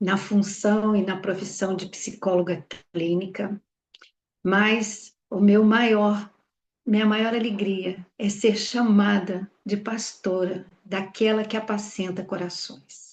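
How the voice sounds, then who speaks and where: This woman speaks very slowly at a medium pitch, her intonation monotone and flat. Her voice is somewhat breathy. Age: 60s. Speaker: pastor and clinical psychologist. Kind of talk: testimony.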